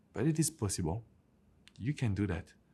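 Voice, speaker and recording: Somewhat breathy, a man speaks with a strong French accent in a very clean recording with a silent background. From France. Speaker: relationship coach. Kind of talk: advice vlog to camera.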